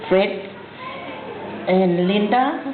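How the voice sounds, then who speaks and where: Noticeable background noise and audible room echo around a woman's very slow speech. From Samoa. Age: 50s. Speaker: family elder. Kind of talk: speech at family reunion. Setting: family reunion gathering.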